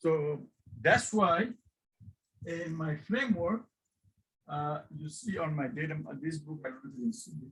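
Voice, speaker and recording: A man with a non-native accent speaks at a moderate pace and a fairly high pitch with lively intonation. His loudness swings widely, and long pauses come often. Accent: noticeable non-native. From Bangladesh. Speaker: professor. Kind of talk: guest lecture. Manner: informal; halting.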